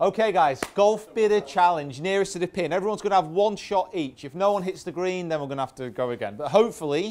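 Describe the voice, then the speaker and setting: Talking at a very fast pace with hardly any pauses, a man with a Manchester accent uses a high pitch and ordinary pitch variation. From northern England, Greater Manchester. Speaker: golf coach. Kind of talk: golf show chat. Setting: indoor golf studio with audience.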